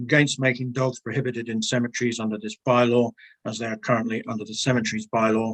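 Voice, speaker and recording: In an English accent, a man speaks at a very fast pace with medium pitch and a monotone, flat intonation, the sound dry and close with no echo. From England. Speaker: submitter at council bylaw hearing. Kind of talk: public submission summary at council hearing.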